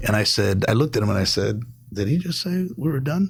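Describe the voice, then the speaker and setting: A man talks at a fairly quick pace with a somewhat breathy voice. His medium pitch swings very widely. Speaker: state legislator and former firefighter. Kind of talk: podcast interview. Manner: halting, many fillers and restarts; speaks quietly at times.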